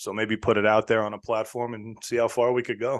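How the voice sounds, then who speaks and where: With a New York accent, a man of medium pitch speaks at a very fast pace in a monotone, flat intonation. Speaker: sports podcaster. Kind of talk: casual chat.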